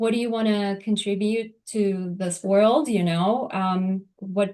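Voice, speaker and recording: A woman with a Turkish accent speaks at a very slow pace and medium pitch, her dark, mellow tone kept to a fairly even intonation. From Turkey. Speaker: lawyer. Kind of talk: interview. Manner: hesitant, many fillers.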